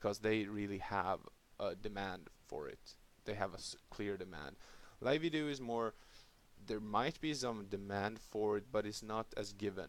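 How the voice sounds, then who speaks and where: A man's fairly low voice with a non-native accent, at a moderate pace with ordinary pitch variation. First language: not English. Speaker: crypto YouTuber. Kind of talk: casual talk to camera. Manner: halting.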